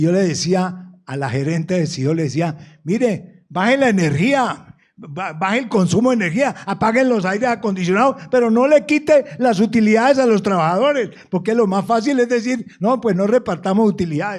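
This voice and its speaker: He is a man with a high-pitched voice. His pace is moderate. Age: 70s. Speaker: businessman and panelist. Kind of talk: panel discussion. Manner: halting, repeats words.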